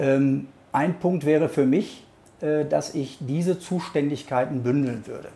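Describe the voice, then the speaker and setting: A man's fairly high voice, dark and mellow, with ordinary pitch variation. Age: 50s. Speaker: local mayoral candidate and lawyer. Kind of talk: interview answers.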